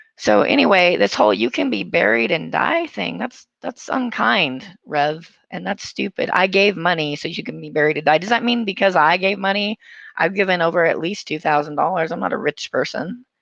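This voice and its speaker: A woman speaks in a fairly low voice, with some vocal fry. Her pitch swings very widely as she goes at a moderate pace. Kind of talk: casual commentary to camera.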